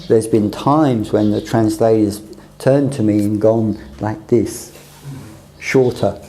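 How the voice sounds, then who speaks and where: A man with a British accent and fairly low pitch speaks at a fairly slow pace, with ordinary pitch variation and long, frequent pauses. Noticeable background noise and audible room echo are present. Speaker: teacher on a mission training course. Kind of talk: lecture.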